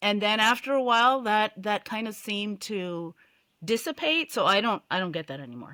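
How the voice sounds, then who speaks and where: A woman with a bright, sharp tone speaks at a moderate pace. The recording is very clean with a silent background and a dry, close sound with no echo. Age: 60s. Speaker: cycling advocate. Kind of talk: podcast interview.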